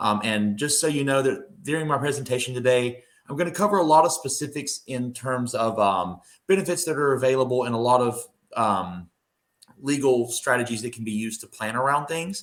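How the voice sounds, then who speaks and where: A fairly quick-paced man with a North Carolina accent and ordinary pitch variation. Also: medium pitch for a man. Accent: Southern US, North Carolina. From North Carolina, Mount Airy. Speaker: estate planning attorney. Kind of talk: presentation. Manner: hesitant, many fillers and repetitions.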